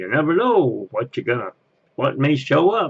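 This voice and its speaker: A man's put-on character voice with a fairly high pitch. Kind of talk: theme park train announcement. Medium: voice reel. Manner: folksy.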